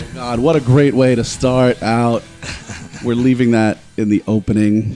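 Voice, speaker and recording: A man's medium-pitched voice at a fairly slow pace, fairly even in intonation, with music in the background. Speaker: comedy podcast host. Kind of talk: casual podcast talk.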